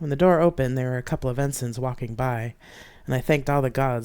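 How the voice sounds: A natural reading voice carries the whole clip.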